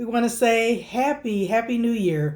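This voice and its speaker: An unremarkable speaking voice moves at a fairly slow pace with lively intonation, captured in a very clean recording against a silent background. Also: woman. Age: 50s. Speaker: RV camper and vlogger. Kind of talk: casual storytime talk to camera.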